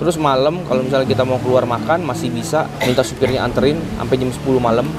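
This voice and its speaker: Music runs underneath. A man rattles off his words very fast. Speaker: travel vlogger. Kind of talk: casual vlog chat. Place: station. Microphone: phone near.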